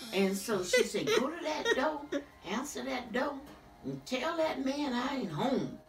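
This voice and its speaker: With noticeable background noise behind her, a woman speaks at a moderate pace and her pitch swings very widely. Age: 80s+. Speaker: family elder telling life history. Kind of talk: interview answer, family oral history.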